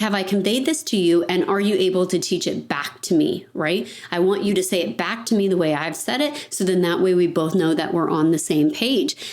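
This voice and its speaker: A woman's medium-pitched voice with lively intonation and very even loudness, fairly quick and hardly pausing, over noticeable background noise. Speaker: financial advisory firm owner. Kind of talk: podcast monologue. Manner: fast.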